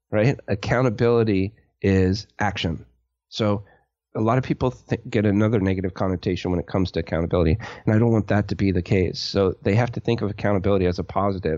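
His voice is fairly low for a man. He talks very fast. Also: ordinary pitch variation. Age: 40s. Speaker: web design business owner, army veteran. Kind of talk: casual interview.

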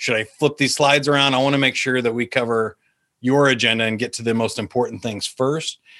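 Against a quiet background, a man with an ordinary speaking voice talks at a fairly quick pace with fairly even intonation. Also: medium pitch for a man. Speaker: sales trainer. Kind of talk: interview.

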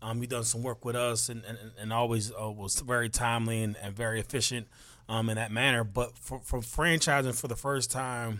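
A man talks in a normal speaking voice at a medium pitch, keeping a moderate pace and fairly even intonation. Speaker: podcast host. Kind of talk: interview chat.

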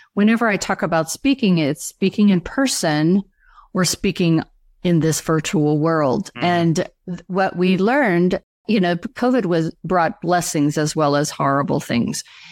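A woman with an ordinary speaking voice, fairly low in pitch, at a moderate pace and very even loudness, recorded dry and close with no echo, very clean, over a silent background. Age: 60s. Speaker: speaker trainer and coach. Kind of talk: interview.

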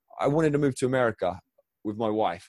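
Speech comes at a very fast pace in a southern English accent with ordinary pitch variation. The sound is dry and close with no echo, over a quiet background. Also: man. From southern England, Crawley. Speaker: former athlete, author and speaker. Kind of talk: interview conversation.

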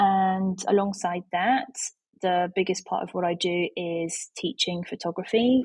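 Somewhat breathy speech with a Yorkshire accent at a moderate pace, fairly even in intonation, in a dry, close sound with no echo. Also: woman. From Yorkshire, England. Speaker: photography educator. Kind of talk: interview conversation.

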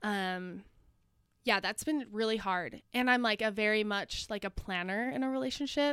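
With an American accent, a woman speaks at a moderate pace in an unremarkable speaking voice, her pitch fairly high and her intonation lively. The recording is very clean, with a silent background. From northern Utah, US. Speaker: grad student and Instagram creator. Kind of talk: casual chat.

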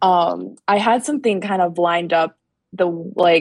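A fairly low female voice with a dry, close sound and no echo. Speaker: undergraduate student. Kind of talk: live Q&A call. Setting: library, Instagram live call. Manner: quiet.

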